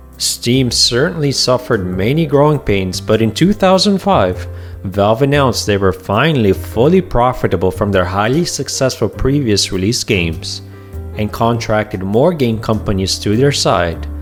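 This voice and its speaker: Against music in the background, a man speaks at a moderate pace and a fairly low pitch, his pitch swinging very widely while his loudness stays very even. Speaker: gaming video narrator. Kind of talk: documentary-style history narration.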